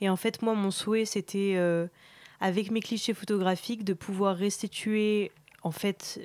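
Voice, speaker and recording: Speaking very slowly, a woman of medium pitch keeps her intonation fairly even. The recording is very clean with a silent background and a dry, close sound with no echo. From France, with Iranian father. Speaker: photographer. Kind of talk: interview.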